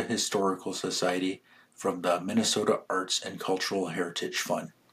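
A man at a fairly quick pace with monotone, flat intonation, in a very clean recording with a silent background. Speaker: podcast narrator. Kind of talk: scripted narration.

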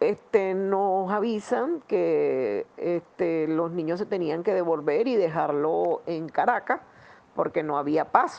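In a Venezuelan accent, a woman speaks at a very slow pace with lively intonation. Her pitch is fairly low. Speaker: parishioner, disaster survivor. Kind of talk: personal testimony.

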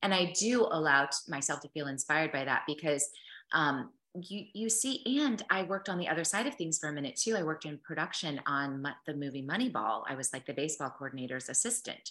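With an American accent, a woman talks at a fairly quick pace in a very deep, low pitch, with a bright, sharp tone and lively intonation. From US Midwest. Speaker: actress and yoga instructor. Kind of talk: casual interview chat.

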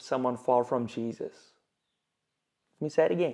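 Against a quiet background, a man with a South African accent speaks at a moderate pace in a dark, mellow tone with lively intonation. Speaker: pastor. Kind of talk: sermon. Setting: church.

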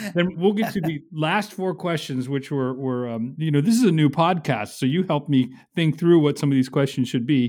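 A man with a fairly high pitch speaks in a dark, mellow tone. The recording is very clean, with a silent background. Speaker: podcast host and research fellow. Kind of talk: interview conversation.

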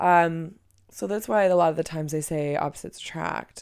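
In a very clean recording over a silent background, a woman with a very deep, low pitch speaks in an animated tone at a moderate pace. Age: 30s. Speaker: podcast host. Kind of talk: casual solo monologue. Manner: animated, frequent laughter.

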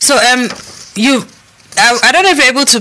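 A woman speaks over noticeable background noise. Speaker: radio host. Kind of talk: radio talk show.

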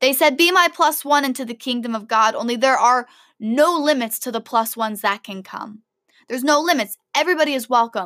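A woman talks at a fairly quick pace in a high voice with a bright, sharp, animated tone and ordinary pitch variation. The recording is very clean, with a silent background. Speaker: podcast host; college student and debater. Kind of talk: solo podcast monologue. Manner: fast.

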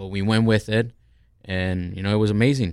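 Here is a man with a plain, everyday voice, pitched fairly low and speaking at a fairly quick pace. His intonation stays fairly even, and the recording is very clean with a silent background. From Colombia, raised in New Jersey. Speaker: chef, restaurant owner. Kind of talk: casual chat. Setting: studio.

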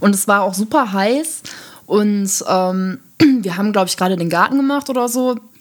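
A woman with a plain, everyday voice talks at a fairly quick pace, her fairly high pitch carrying lively intonation. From Germany, Düsseldorf. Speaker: podcast co-host. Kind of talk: casual chat.

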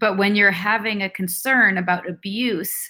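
A woman speaks in a western Canadian accent with a bright, sharp tone. The recording is very clean, with a silent background. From Vancouver, Canada. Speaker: author and former cult member. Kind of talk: casual interview.

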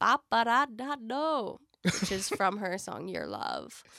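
A woman in an American accent, fairly slow, with vocal fry, a bright, sharp tone and lively intonation, in a very clean recording with a silent background. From New York City (Brooklyn). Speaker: musician. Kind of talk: casual chat. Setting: studio.

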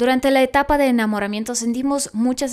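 A woman speaks at a high pitch in a warm tone, recorded very cleanly over a silent background. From Russia. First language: Russian (speaking Spanish). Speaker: podcast host and actress. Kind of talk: casual chat. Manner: warm, conversational.

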